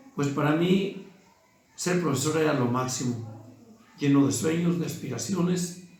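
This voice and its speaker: A man speaks with ordinary pitch variation. Noticeable background noise and audible room echo surround him. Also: long, frequent pauses. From Mexico, Guanajuato. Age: 60s. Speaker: teacher. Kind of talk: interview testimony. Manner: formal.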